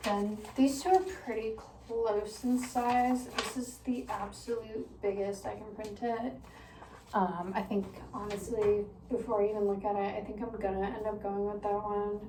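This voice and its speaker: Noticeable background noise and audible room echo around a woman's voice of fairly even intonation. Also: fairly high pitch for a woman. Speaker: small fashion business owner. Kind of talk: casual vlog narration. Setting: home bathroom. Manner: casual, filler-heavy.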